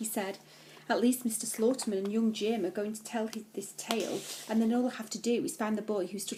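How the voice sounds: Just a natural reading voice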